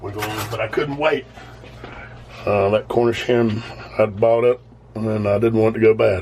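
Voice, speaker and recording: Against noticeable background noise, a man with a Southern US accent speaks at medium pitch in a relaxed tone, at a moderate pace with fairly even intonation and long, frequent pauses. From US South. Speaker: home cooking video host. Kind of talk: cooking tutorial. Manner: casual, relaxed.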